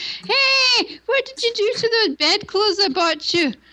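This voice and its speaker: In a put-on character voice with a Scottish accent, a female-sounding voice squeaks along at a fairly slow pace with extremely high pitch. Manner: thick, scolding.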